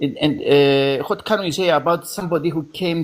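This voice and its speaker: A man speaks with a Greek Cypriot accent. His pitch varies in an ordinary way. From Cyprus. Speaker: debate participant. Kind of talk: debate. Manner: halting.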